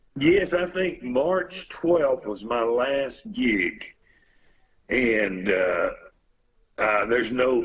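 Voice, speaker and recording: A man with a strong Texas accent talks at a very slow pace, his medium pitch making very wide swings. He leaves long, frequent pauses. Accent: strong Texas Southern. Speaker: musician. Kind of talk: casual chat.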